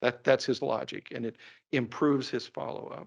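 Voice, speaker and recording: Against a quiet background, a man with a Kentucky accent speaks at a fairly quick pace and a medium pitch. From Kentucky (Laurel County, northern Kentucky). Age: 60s. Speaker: endocrinologist. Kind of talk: lecture. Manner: conversational, animated.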